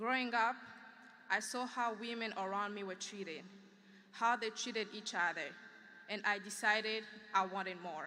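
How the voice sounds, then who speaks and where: At a moderate pace, the bright, sharp voice keeps fairly even intonation, with long, frequent pauses. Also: woman, medium pitch for a woman. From Democratic Republic of Congo. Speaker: graduating student speaker. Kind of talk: commencement speech. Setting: graduation ceremony in field house with audience.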